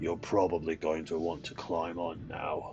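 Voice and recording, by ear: Over clear background music, a man puts on a gruff character voice, very deep and low, flat and monotone, at a moderate pace.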